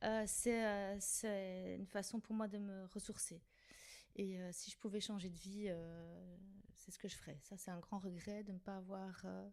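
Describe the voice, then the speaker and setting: A woman's medium-pitched voice comes out in a monotone, flat intonation. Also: fairly slow pace. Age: 50s. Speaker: director of care homes, podcast guest. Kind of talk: casual chat. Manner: hesitant, many fillers.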